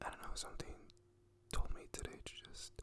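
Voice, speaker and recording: A man is whispering. He keeps a moderate pace. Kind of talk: casual talk to camera. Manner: whispered, soft.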